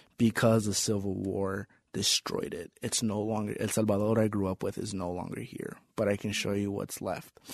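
A man with an American accent speaks at a moderate pace in an unremarkable speaking voice. His pitch sits fairly low, and his intonation stays fairly even. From Las Vegas, Nevada. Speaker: podcast host, English teacher. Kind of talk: casual chat.

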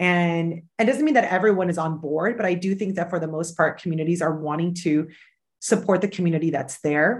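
A woman has a plain, everyday voice, fairly low in pitch. She talks at a fairly quick pace with ordinary pitch variation. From Peru (Lima), raised in Spain and the US. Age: 30s. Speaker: sociologist. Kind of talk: webinar interview.

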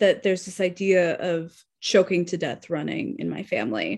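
A woman speaks at a fairly slow pace with an American accent and a plain, everyday voice. Her pitch variation is ordinary, and the background is quiet. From Arizona. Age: 20s. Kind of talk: interview. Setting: podcast.

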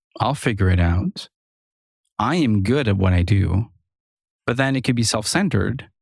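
A man's fairly low voice with a French-Canadian accent, at a fairly slow pace, in a dry, close sound with no echo. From French Canada (Quebec and Ontario). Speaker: freelance software developer. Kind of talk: casual interview.

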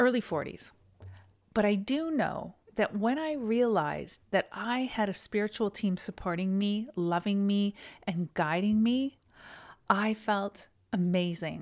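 On a very clean recording with a silent background, a woman with a Canadian accent uses a normal speaking voice at medium pitch, fairly slow pace and ordinary pitch variation. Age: 50s. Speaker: yoga teacher and podcast host. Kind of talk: solo podcast monologue.

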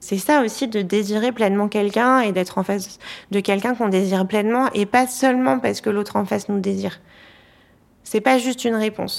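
An ordinary speaking voice moves at a fairly quick pace with fairly even intonation and very even loudness, in a very clean recording with a silent background. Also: woman, fairly high pitch for a woman. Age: young. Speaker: marriage and family counselor. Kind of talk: interview.

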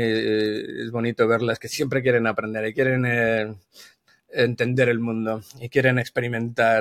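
A man's voice at medium pitch. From Spain. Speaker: brand consultant. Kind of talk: casual interview.

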